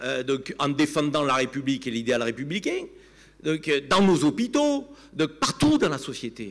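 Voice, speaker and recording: A man with a Provençal accent speaks at a fairly slow pace. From Provence, southern France (Avignon). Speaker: TV commentator. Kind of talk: panel debate. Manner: animated.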